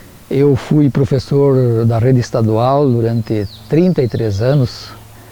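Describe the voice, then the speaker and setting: Very slow speech from a man at medium pitch, with noticeable background noise. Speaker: teacher. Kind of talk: interview testimony.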